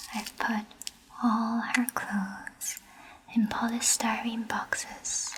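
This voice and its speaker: A woman whispers at a very slow pace, with long, frequent pauses. Noticeable background noise is present. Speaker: ASMR artist and virtual festival guide. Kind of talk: ASMR reading of literary text.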